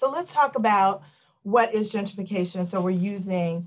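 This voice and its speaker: A somewhat breathy woman with an American accent, ordinary pitch variation, and a quiet background. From Washington, DC. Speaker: law professor. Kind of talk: lecture. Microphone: video call.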